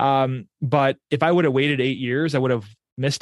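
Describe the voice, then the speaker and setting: An ordinary speaking voice from a man with an American accent, medium pitch, fairly even intonation and a fairly quick pace, against a quiet background. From New York area, US. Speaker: business owner and real estate investor. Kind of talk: casual interview chat.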